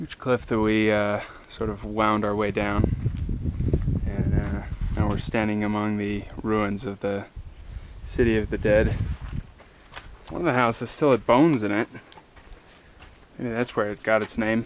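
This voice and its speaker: Through noticeable background noise, a man with a fairly low pitch and fairly even intonation speaks at a fairly slow pace with long, frequent pauses, in a dry sound with no echo. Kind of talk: casual vlog chat. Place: open country. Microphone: phone near.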